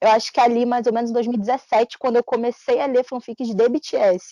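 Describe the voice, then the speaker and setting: A woman speaks at a fairly quick pace in a high pitch, with a Carioca accent. The sound is dry and close, with no echo. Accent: carioca Brazilian Portuguese. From Brazil, Rio de Janeiro. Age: 20s. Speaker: fanfiction writer and editor. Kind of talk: interview. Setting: podcast.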